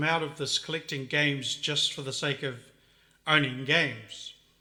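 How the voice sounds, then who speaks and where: A man with a New Zealand accent talks fairly slowly in a bright, sharp, monotone, flat voice at a fairly high pitch. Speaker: retro game collector vlogger. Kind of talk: casual monologue showing collection. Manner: halting, many fillers and restarts.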